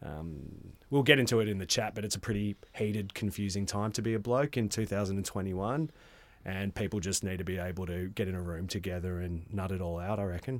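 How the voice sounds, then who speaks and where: A man with an Australian accent speaks at a fairly quick pace in a fairly low pitch. His pitch varies in an ordinary way, recorded very cleanly over a silent background. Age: 30s. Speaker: men's wellbeing facilitator. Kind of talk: casual chat.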